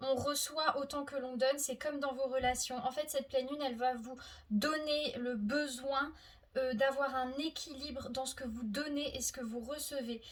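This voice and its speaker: Pitched high, a woman talks at a moderate pace. Her intonation stays fairly even. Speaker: tarot card reader. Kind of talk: tarot reading video. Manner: halting, self-corrected.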